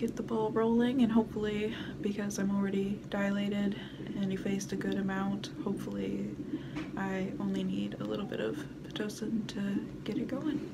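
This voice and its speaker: A woman speaking at a moderate pace over loud background noise. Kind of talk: casual vlog chat. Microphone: phone near.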